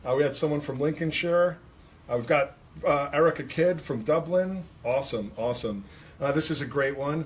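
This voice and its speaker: Speaking at a fairly quick pace, a man with a New York accent uses an enthusiastic tone at a fairly high pitch. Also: ordinary pitch variation. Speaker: hairdressing educator and livestream host. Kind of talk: livestream chat, reading viewer comments. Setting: livestream in a salon.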